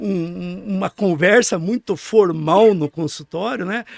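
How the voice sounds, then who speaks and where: Dry and close with no echo, a man's high-pitched voice carries lively intonation. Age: 60s. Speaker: neurologist. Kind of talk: interview. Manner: halting, with repeated words.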